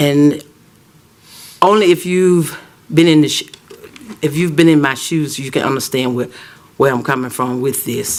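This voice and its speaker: With a Southern US accent and ordinary pitch variation, a man talks through noticeable background noise, leaving long, frequent pauses. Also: moderate pace. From US South, Auburn, Alabama. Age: 60s. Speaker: citizen speaker at council meeting. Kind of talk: public comment at council meeting. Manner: halting.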